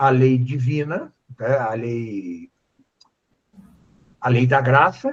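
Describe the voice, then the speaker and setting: Somewhat breathy, a man talks at a very slow pace with a fairly high pitch. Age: 70s. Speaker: philosophy professor. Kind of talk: lecture-style Q&A on a live stream. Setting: live stream. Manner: halting, many fillers.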